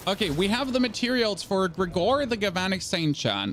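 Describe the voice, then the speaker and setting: With music playing in the background, a high-pitched man speaks in a German accent with lively intonation. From Germany. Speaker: gaming streamer. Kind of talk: live stream chat and gameplay commentary. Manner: casual, conversational.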